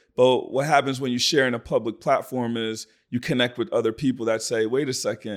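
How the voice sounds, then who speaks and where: In an ordinary speaking voice, a man of medium pitch talks at a fairly quick pace with hardly any pauses. The recording is very clean, with a silent background. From Sierra Leone, then raised in Philadelphia. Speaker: digital marketing strategist and entrepreneur. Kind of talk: casual interview conversation.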